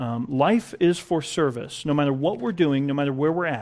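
With an ordinary speaking voice, a man talks at a fairly high pitch with ordinary pitch variation. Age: 30s. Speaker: pastor. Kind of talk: sermon. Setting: church.

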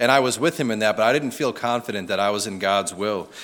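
With an unremarkable speaking voice, a man holds a medium pitch that varies in an ordinary way. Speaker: church member giving testimony. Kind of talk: testimony. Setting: church with congregation.

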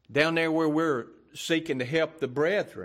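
A man speaks at a moderate pace with a Louisiana accent. The recording is very clean, with a silent background. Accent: Southern US (Louisiana). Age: 60s. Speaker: pastor. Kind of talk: sermon. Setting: church.

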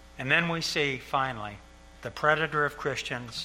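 A man talks at a moderate pace, his intonation fairly even, with noticeable background noise behind him. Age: 70s. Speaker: pastor. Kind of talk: sermon. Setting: church.

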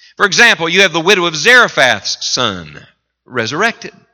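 An animated man with an Appalachian accent talks at a fairly high pitch, his voice swinging very widely. His tone is bright and sharp, with vocal fry. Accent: Appalachian US Southern. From West Virginia mountains. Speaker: visiting revival preacher. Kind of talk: sermon. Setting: church with congregation. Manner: animated, impassioned preaching.

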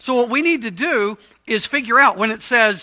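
A man projects his voice at a fairly slow pace. His tone is bright and sharp, his pitch high and his intonation lively. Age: 50s. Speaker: Bible study teacher. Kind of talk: interactive Bible study lesson. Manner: conversational, casual.

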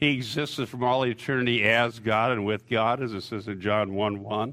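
With a normal speaking voice, a man talks at a moderate pace and medium pitch, his intonation fairly even, on a very clean recording with a silent background. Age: 60s. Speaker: pastor. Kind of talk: sermon.

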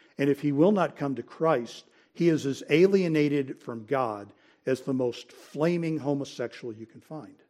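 On a very clean recording with a silent background, a man with a fairly high pitch and a dark, mellow tone speaks at a moderate pace, with ordinary pitch variation and big swings in loudness. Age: 60s. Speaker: Sunday school teacher. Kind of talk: Bible lecture. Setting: church classroom.

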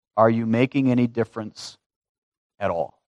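A man at medium pitch and a fairly slow pace, over a quiet background, dry and close with no echo. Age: 30s. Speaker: pastor. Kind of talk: sermon.

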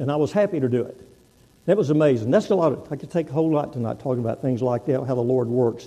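A man with a Texan accent talks at a very fast pace. His tone is dark and mellow, and his intonation is lively. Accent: Texan US Southern. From Texas. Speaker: guest preacher, navy veteran. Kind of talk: sermon.

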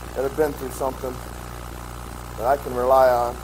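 Noticeable background noise and audible echo from the room accompany a man as he talks at a moderate tempo. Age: 30s. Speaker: pastor. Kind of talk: sermon.

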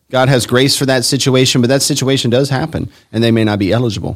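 A man talks fairly quickly in a plain, everyday voice at medium pitch, with ordinary pitch variation. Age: 40s. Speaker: pastor. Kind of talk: casual chat.

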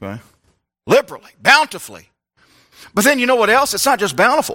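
A man with an American accent uses a raised, projected voice at extremely high pitch with lively intonation, in a dry, close sound with no echo and a very clean recording over a silent background. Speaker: pastor. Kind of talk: sermon. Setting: church. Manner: informal, conversational preaching.

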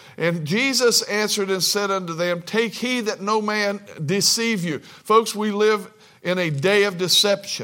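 A man speaks in a raised, projected voice with a bright, sharp tone. His pitch is high, with ordinary pitch variation. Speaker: preacher. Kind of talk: sermon. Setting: church. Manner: fills pauses with uh; deliberate, slower pace.

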